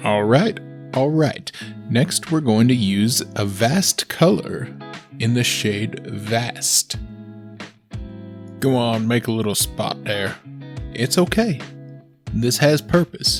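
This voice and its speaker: Over background music, a man of medium pitch speaks very slowly, with very wide pitch swings and long, frequent pauses. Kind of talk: comedic makeup tutorial voiceover.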